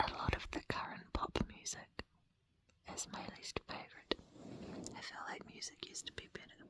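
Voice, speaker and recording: A woman whispers at a moderate pace, with long, frequent pauses and big swings in loudness. Noticeable background noise sits behind her. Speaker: dancer. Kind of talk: ASMR get-to-know-you Q&A. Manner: whispered.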